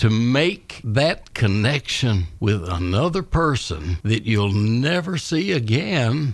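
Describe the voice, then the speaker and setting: Speaking very slowly with a Southern US accent, a man at medium pitch uses very wide pitch swings, very even loudness, and hardly any pauses. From Scottsville, Kentucky. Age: 80s+. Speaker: retired business executive. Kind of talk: radio interview.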